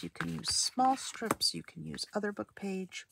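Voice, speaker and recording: Whispering at a fairly slow pace, a woman is recorded with a dry, close sound and no echo. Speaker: crafting video creator. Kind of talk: craft tutorial. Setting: at home. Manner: soft-spoken; halting, many fillers.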